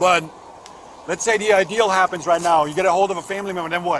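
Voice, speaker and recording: Delivered at a very fast pace, the speech has fairly even intonation over noticeable background noise. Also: man. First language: not English. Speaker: police officer. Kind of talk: police questioning.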